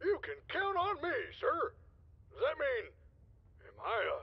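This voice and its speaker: The pitch sits extremely high in this put-on character voice. The pace is moderate. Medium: video game. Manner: gruff, folksy.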